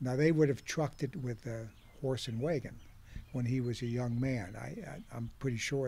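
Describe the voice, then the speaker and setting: On a very clean recording with a silent background, a man speaks in an American accent at medium pitch. His tone is dark, mellow and somewhat breathy, with ordinary pitch variation. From Ohio, Hamilton County (Cincinnati area). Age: 70s. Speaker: farmer. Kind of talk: oral history interview. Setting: outdoors on a back porch.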